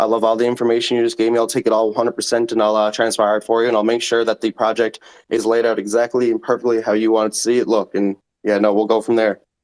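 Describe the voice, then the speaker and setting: Monotone, flat intonation at a very fast pace in a Newfoundland accent. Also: man, medium pitch for a man, very even loudness, dry, close sound with no echo. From Newfoundland, Canada. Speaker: NFT project founder pitching. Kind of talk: casual chat.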